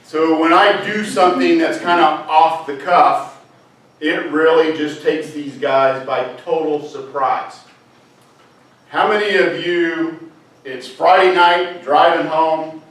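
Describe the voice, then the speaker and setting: Over noticeable background noise, a man with a fairly high pitch talks very slowly in a fairly even intonation. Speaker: scoutmaster. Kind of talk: speech to a club audience.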